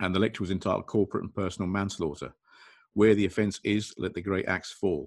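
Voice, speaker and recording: A man with an English accent, very fast and fairly low-pitched, against a quiet background. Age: 50s. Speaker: restraint training consultant. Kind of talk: casual video discussion.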